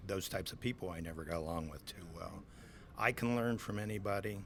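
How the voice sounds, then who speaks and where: There is audible room echo as a man with a Midwestern US accent talks at a fairly quick pace, his very deep, low voice showing ordinary pitch variation. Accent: US Midwest. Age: 60s. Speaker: swine farm manager. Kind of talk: interview. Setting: conference.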